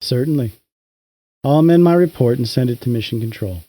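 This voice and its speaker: A put-on character voice at a fairly quick pace. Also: man, medium pitch for a man. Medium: read story. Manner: calm, unruffled.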